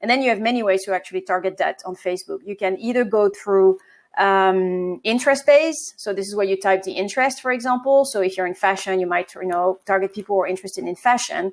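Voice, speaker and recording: In a French accent, a woman talks very fast at a medium pitch with ordinary pitch variation and hardly any pauses, on a very clean recording with a silent background. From France. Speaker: marketing agency co-founder. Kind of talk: interview.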